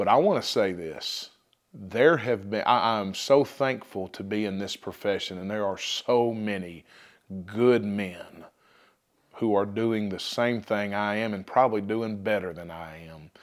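With an ordinary speaking voice, a man talks at a fairly low pitch and a fairly slow pace, using ordinary pitch variation and big swings in loudness. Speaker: high school football coach. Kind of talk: interview, testimony of faith.

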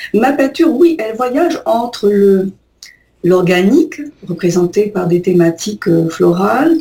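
Somewhat breathy and dark, mellow in tone, a woman speaks at a fairly slow pace with very wide pitch swings and long, frequent pauses. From Algeria. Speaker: painter. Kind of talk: radio interview. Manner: halting.

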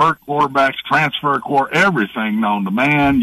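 In a dry, close sound with no echo, a man with a fairly high pitch and an ordinary speaking voice talks at a moderate pace. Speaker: former college football coach, analyst. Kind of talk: sports talk interview. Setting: video call.

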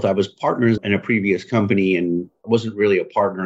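A man with an American accent uses an ordinary speaking voice at a fairly low pitch, fairly quick pace and ordinary pitch variation. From northern Michigan, US. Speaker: business CEO. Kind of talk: interview.

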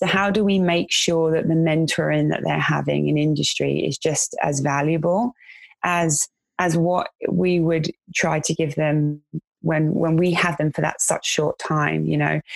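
With a London accent, a woman speaks at a fairly slow pace and very even loudness, the sound dry and close with no echo. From West London, England. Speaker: vocational college educator. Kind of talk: casual chat.

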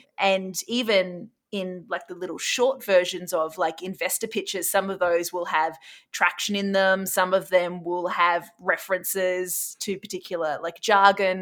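Someone with an Australian accent speaks at a fairly slow pace with hardly any pauses and fairly even intonation, on a very clean recording with a silent background. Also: woman, medium pitch for a woman. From Australia, Brisbane. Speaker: startup CEO. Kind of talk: casual interview.

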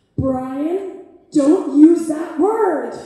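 In an American accent, a woman does a put-on character voice at an extremely high pitch, with clear echo around her.

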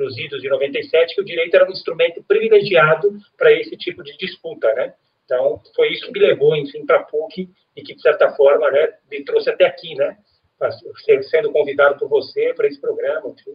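Big swings in loudness run through this man's speech. He talks at a fairly quick pace. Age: 40s. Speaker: lawyer. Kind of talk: interview.

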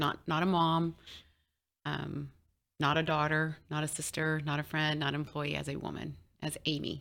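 A woman with an American accent, very deep and low-pitched with vocal fry, monotone, flat intonation, moderate pace broken by long, frequent pauses, on a very clean recording with a silent background. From Texas, rural. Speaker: author and rancher. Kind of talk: interview. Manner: halting, many fillers.

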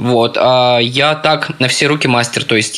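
A man's voice with fairly even intonation, over noticeable background noise. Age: 20s. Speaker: social media manager. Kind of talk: interview.

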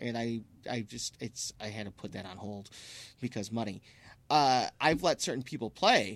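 A man with a medium pitch is heard on a very clean recording with a silent background. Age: 30s. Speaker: radio host. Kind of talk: casual radio show banter; radio dj patter, station IDs and concert listings. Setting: radio studio. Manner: halting, repeats words and fillers; upbeat, loose and chatty, quick back-announcing.

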